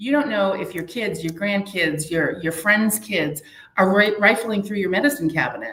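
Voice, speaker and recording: A woman of medium pitch with a New Hampshire accent, lively intonation and a moderate pace. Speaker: community prevention outreach worker. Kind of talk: live interview.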